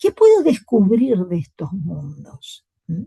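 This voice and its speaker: Very slow speech in a dark, mellow, somewhat breathy tone comes through a dry, close recording with no echo. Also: woman. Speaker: university lecturer. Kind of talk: lecture.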